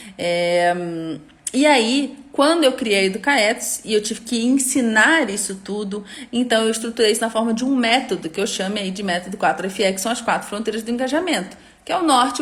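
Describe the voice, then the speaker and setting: Amid noticeable background noise, a woman talks at a fairly quick pace with a fairly high pitch and ordinary pitch variation. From Rio de Janeiro, Brazil. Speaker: educator and online course creator. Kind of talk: live stream talk to course participants. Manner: informal, chatty with many fillers.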